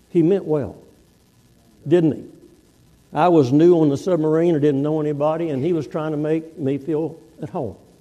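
With an American accent, a man talks at a moderate pace and fairly high pitch, his tone dark and mellow. His intonation is fairly even, with long, frequent pauses and audible room echo. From Texas. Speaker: guest preacher, navy veteran. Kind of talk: sermon.

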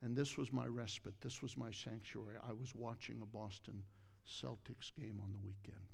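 A fairly low-pitched man's voice with an American accent, vocal fry, ordinary pitch variation and a moderate pace. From Ohio, US Midwest. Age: 60s. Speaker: pastor. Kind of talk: sermon. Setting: church.

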